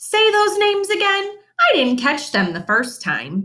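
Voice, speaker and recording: In a put-on character voice, a woman speaks high-pitched and squeaky at a moderate pace. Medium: read story. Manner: eager, innocent.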